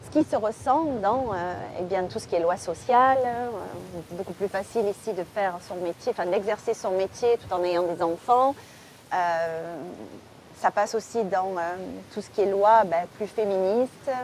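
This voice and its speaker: Speaking fairly slowly at a medium pitch, a woman uses ordinary pitch variation and leaves long, frequent pauses. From southern France, Marseille. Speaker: crime novelist. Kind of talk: interview. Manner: hesitant, many fillers.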